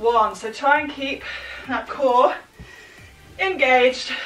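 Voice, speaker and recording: Audible room echo and faint background music surround a raised, projected voice delivered at a very slow pace. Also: woman. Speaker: fitness instructor. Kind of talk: workout instruction. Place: home room. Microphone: camera far.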